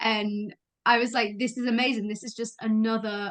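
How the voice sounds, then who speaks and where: A woman speaks in a British accent at a moderate pace. Her pitch is fairly high. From UK. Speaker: podcast host. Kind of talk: casual chat.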